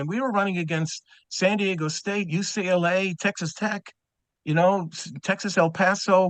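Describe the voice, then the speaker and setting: Fairly slow pace and ordinary pitch variation, a dry, close sound with no echo against a quiet background. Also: man. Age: 70s. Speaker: track and field coach. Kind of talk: group video call discussion.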